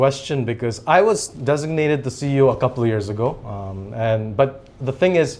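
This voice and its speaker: A man talks with a Japanese accent. His pace is moderate. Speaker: company CEO. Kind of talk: interview.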